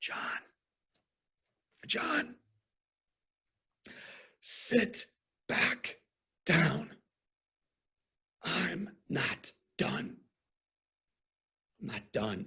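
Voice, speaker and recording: A put-on character voice, raspy and fairly high, moves at a very slow pace with long, frequent pauses. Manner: very firm.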